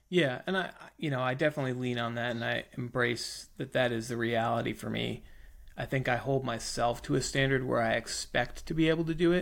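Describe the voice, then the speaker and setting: The man has a plain, everyday voice pitched in the medium range. His delivery moves fairly quickly, with ordinary pitch variation. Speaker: podcast co-host. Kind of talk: casual chat. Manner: joking, teasing.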